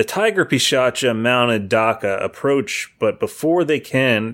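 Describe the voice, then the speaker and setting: A normal speaking voice from a man, medium in pitch with lively intonation, at a fairly slow pace on a very clean recording with a silent background. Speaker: podcast panelist. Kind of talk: casual chat.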